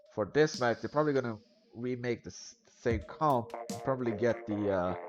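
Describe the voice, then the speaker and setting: With music in the background, a man talks at a moderate pace and medium pitch, showing ordinary pitch variation and big swings in loudness. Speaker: esports caster. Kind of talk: live commentary. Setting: live stream.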